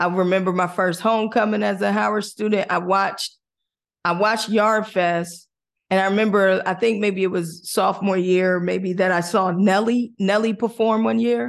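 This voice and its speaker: A woman with an American accent speaks in an unremarkable speaking voice at medium pitch and a moderate pace, with ordinary pitch variation and very even loudness against a quiet background. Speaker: radio host and media executive. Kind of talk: casual interview.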